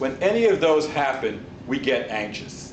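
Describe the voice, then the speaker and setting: A man talks at a fairly slow pace with an American accent. Audible room echo and noticeable background noise surround his voice. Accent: New York accent, less heavy than before. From New York. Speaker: public speaking club member. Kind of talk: speech.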